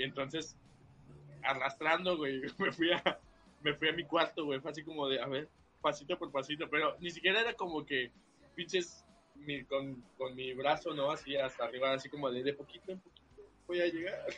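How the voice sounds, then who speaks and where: An unremarkable speaking voice from a man, fairly high-pitched, moderate in speed, its intonation fairly even. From Veracruz port, Mexico. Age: young. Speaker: podcast guest. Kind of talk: casual chat.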